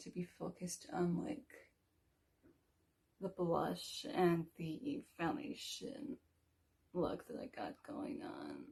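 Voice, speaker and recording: Her medium-pitched voice has a dark, mellow tone, and this woman speaks with vocal fry. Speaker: beauty vlogger. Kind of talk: makeup tutorial. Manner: casual.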